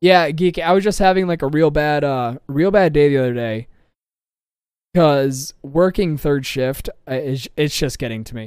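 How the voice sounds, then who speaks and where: This man talks at a moderate pace. His fairly high voice has ordinary pitch variation. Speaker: podcast host and streamer. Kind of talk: casual chat. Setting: live stream with voice chat. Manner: crude, energetic.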